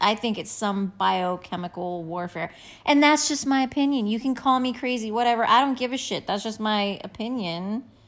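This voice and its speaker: At a moderate pace, a woman speaks with a fairly high pitch and ordinary pitch variation against a quiet background. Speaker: podcast co-host. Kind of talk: casual chat. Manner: softer, quieter.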